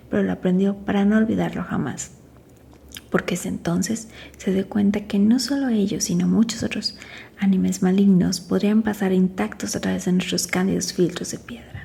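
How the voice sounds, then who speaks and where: A woman with a dark, mellow tone and vocal fry speaks at a medium pitch and moderate pace, keeping her intonation fairly even. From Mexico. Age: 40s. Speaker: makeup artist. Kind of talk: ASMR book reading. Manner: soft-spoken, quiet.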